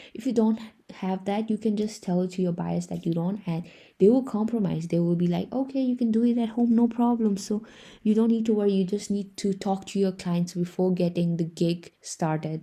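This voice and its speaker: Speaking at a fairly quick pace, a woman has a medium pitch with ordinary pitch variation. Her tone is dark, mellow and somewhat breathy, set against a quiet background. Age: young. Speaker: freelancer tutorial creator. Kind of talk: tutorial. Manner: casual.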